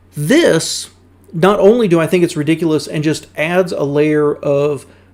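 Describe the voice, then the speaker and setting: A man speaks fairly slowly in a Southern US accent. His pitch is fairly high, with ordinary pitch variation. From US South. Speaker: car YouTuber reacting to videos. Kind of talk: casual reaction commentary.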